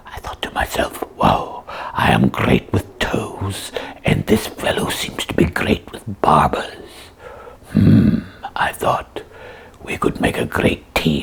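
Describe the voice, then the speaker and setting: Using a raspy, cartoonish character voice, a man speaks at a fairly slow pace. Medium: puppet.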